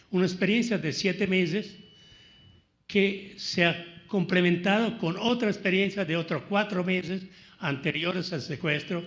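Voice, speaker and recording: A man talks at a fairly slow pace with a high pitch and fairly even intonation. Noticeable background noise and audible room echo surround him. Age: 70s. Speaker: kidnapping survivor speaking at public dialogue. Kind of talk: public panel talk. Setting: university auditorium with audience. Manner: halting.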